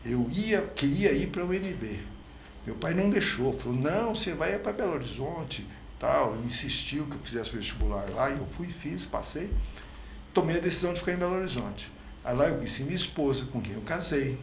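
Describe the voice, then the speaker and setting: A man with a fairly high pitch speaks at a moderate pace with lively intonation, amid noticeable background noise and audible room echo. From Brazil, Franca (São Paulo state). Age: 70s. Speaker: mayoral candidate, physician. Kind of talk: interview. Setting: podcast.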